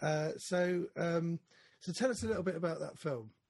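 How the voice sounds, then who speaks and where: A somewhat breathy male voice. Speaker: podcast host. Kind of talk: casual chat. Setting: studio, remote video interview with guests.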